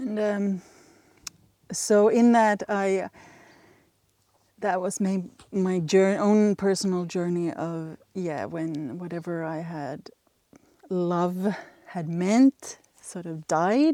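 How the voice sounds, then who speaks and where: Her voice dark and mellow, a woman with a Swedish accent speaks at medium pitch with ordinary variation. She talks very slowly, with long, frequent pauses. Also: big swings in loudness. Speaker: ritual play practitioner. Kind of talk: interview. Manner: halting.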